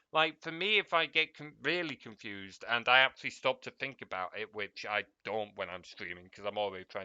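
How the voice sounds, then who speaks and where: This man has an English accent. He speaks with lively, varied intonation. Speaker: streamer. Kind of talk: casual chat. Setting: live stream.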